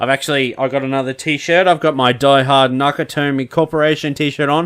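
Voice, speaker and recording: Using flat, monotone intonation, a man with an Australian accent speaks at a fairly high pitch and a fairly quick pace. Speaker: podcast host. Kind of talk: casual chat.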